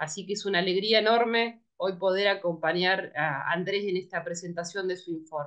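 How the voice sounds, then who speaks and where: In a Rioplatense accent, a woman talks with fairly even intonation and hardly any pauses against a quiet background. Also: medium pitch for a woman, moderate pace. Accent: Argentine Spanish (rioplatense). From Argentina, rural Buenos Aires province. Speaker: moderator, academic researcher; moderator. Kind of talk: event moderation and speaker introductions. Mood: warm, friendly. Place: home room. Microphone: webcam.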